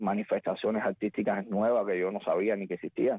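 This man's voice is medium in pitch. He rattles along at a very fast pace. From Cuba, rural Havana province. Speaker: singer. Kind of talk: radio interview.

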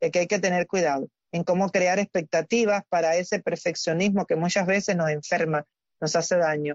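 This woman has a normal speaking voice with fairly low pitch. Her intonation is fairly even. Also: moderate pace. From Cuba. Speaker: doctor, health segment presenter. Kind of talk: health advice talk.

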